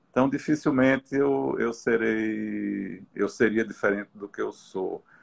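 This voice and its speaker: A man does the talking. His pace is fairly slow. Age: 60s. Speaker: visual artist. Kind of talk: interview in a live stream. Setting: live video stream. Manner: halting, many repetitions.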